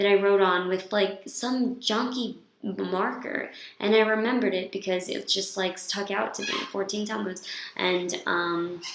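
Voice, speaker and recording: A woman is heard with audible room echo. Background noise is noticeable too. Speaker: vlogger, yeshiva student. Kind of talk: casual video diary monologue. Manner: hesitant, many fillers.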